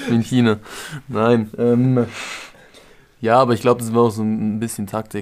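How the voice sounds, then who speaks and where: Using a monotone, flat intonation, a man speaks at a medium pitch and a moderate pace, with long, frequent pauses. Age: 20s. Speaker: personal trainer. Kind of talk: casual chat.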